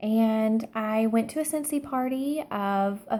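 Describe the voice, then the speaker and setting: Quiet and dark, mellow in tone, a woman with a Southern US accent speaks at a fairly high pitch. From Alabama. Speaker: direct sales consultant. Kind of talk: personal story monologue. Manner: hushed, keeping quiet.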